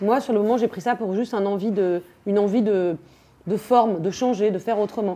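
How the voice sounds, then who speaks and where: The voice moves at a fairly quick pace with a dark, mellow tone and fairly even intonation. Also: woman, medium pitch for a woman. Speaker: actress and theatre director. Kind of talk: interview. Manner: fast.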